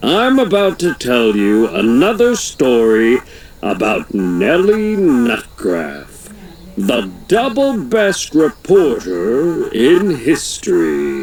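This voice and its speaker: A put-on character voice at a very slow pace, over clear background noise. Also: man, fairly high pitch for a man. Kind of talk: tall tale. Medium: read story. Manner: folksy, chatty, tall-tale telling.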